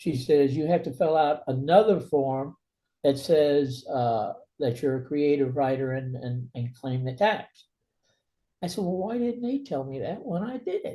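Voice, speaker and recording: Somewhat breathy, with a dark, mellow tone, a man with an American accent speaks at a fairly high pitch. He talks at a fairly slow pace with lively intonation. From New York City, Brooklyn. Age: 80s+. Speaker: author. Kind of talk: interview.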